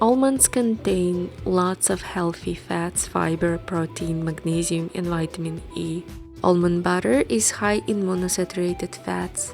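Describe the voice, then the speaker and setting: With music in the background, a woman speaks in a fairly low pitch with lively intonation. She leaves hardly any pauses. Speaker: recipe video creator. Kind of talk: recipe tutorial voice-over.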